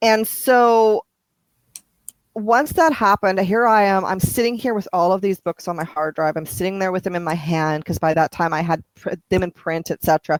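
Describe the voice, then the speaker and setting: Medium-pitched female speech with a Canadian accent, ordinary pitch variation and a moderate pace, dry and close with no echo, in a very clean recording with a silent background. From Canada. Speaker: romance author. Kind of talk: interview. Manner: halting, many repetitions.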